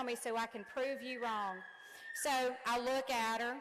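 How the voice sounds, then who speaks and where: A woman with a high pitch and an animated tone speaks at a fairly slow pace. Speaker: commencement speaker, nursing instructor. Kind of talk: commencement speech. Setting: gym with audience.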